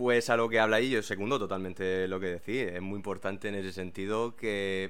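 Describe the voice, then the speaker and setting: Using an ordinary speaking voice, a man talks at a fairly quick pace with a fairly low pitch and fairly even intonation. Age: 20s. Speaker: former local mayor and English teacher. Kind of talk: interview. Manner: formal.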